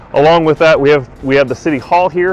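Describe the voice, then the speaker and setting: With faint music behind him and a dry sound free of echo, a man talks at a fairly quick pace with ordinary pitch variation. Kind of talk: casual vlog chat. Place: street.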